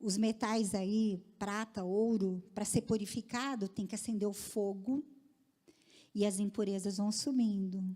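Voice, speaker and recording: Somewhat breathy and dark, mellow in tone, a woman speaks at a very slow pace. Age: 60s. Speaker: women's ministry speaker. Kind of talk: sermon.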